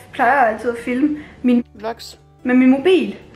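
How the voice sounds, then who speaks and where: Over faint music in the background and audible room echo, a woman speaks in a high pitch. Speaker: vlogger. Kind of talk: casual vlog chat. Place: home room. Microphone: phone near.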